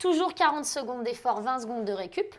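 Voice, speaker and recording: A high-pitched female voice with lively intonation and an upbeat tone, on a very clean recording with a silent background. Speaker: pilates instructor. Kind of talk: guided workout instruction. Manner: upbeat, encouraging.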